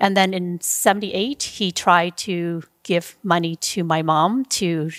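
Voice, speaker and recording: A woman talks at a very slow pace in a fairly low voice with ordinary pitch variation. The sound is dry and close with no echo. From Vietnam, raised in Edmonton, Canada. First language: Vietnamese. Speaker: entrepreneur. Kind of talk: interview. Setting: studio.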